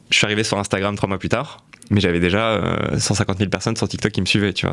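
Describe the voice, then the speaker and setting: Against noticeable background noise, a man talks very fast at a fairly low pitch with fairly even intonation. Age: 20s. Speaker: content creator and entrepreneur. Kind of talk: podcast interview. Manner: casual, with many fillers.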